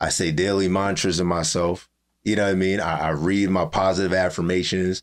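In a very clean recording with a silent background, a man with a Pennsylvania accent speaks fairly quickly at a very deep, low pitch. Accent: Pennsylvania, urban US East Coast. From Allentown, Pennsylvania. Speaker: rapper. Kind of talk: casual podcast interview.

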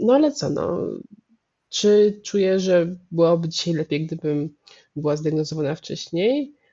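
A woman's plain, everyday voice, fairly low in pitch, with lively intonation at a fairly slow pace. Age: 30s. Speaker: medical anthropologist. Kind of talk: interview.

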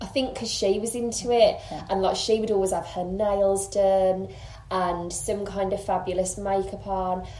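Over noticeable background noise, a woman with a medium pitch speaks in a flat monotone at a moderate pace. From Birmingham, England. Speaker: makeup artist and blogger. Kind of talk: casual interview chat. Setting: host's home.

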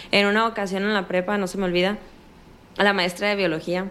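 A woman with a northern Mexican accent at a fairly quick pace. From Sinaloa, northern Mexico. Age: 20s. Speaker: cancer survivor. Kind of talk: interview testimony. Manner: direct, forceful.

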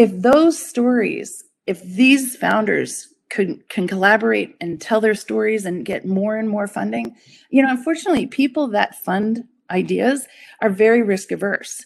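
A woman with a plain, everyday voice and fairly high pitch speaks at a moderate pace with lively intonation against a quiet background. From Colorado, US. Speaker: strategist and adjunct professor. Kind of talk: interview.

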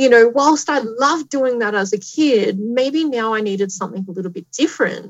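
A fairly high-pitched woman with an Australian accent, lively intonation, and a fairly quick pace with hardly any pauses. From Australia, Tamworth New South Wales. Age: 30s. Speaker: astronomer and science communicator. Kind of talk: live-streamed interview. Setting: live stream to schools.

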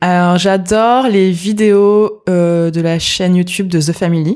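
Her pitch sits fairly low for a woman. The intonation is fairly even throughout. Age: 20s. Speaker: entrepreneur. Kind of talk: interview.

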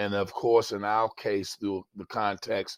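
With an American accent, a man speaks at a fairly slow pace in a fairly low, monotone, flat voice, the sound dry and close with no echo in a very clean recording with a silent background. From Baltimore, Maryland. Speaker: pastor. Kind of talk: interview conversation.

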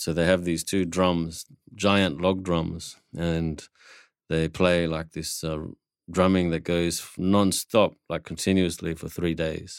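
A man speaks very slowly at a very deep, low pitch with monotone, flat intonation. The recording is very clean, with a silent background. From Papua New Guinea and Darwin, Australia. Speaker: musician and percussionist. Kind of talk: interview.

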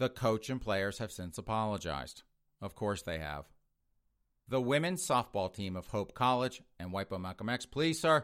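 Animated in tone, a man talks at a moderate pace with lively intonation. His pitch is fairly low. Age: 50s. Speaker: political commentary podcast host. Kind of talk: news commentary monologue. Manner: sarcastic, animated with frequent laughter.

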